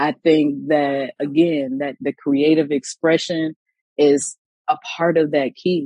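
A woman with an American accent speaks very slowly in a very deep, low pitch, in a dry, close sound with no echo. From Illinois. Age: 30s. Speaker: founder of a healing and art therapy organization. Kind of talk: casual chat.

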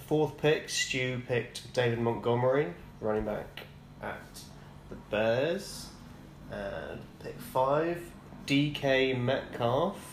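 Very slowly and with long, frequent pauses, a man with a British accent and medium pitch speaks with ordinary pitch variation and big swings in loudness. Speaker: podcast co-host.

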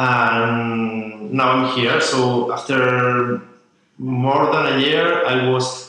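With audible room echo around it, the speech has a Spanish accent and a monotone, flat intonation. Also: man. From Spain. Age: 20s. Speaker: journalist and writer. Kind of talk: interview. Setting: coworking space. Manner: halting.

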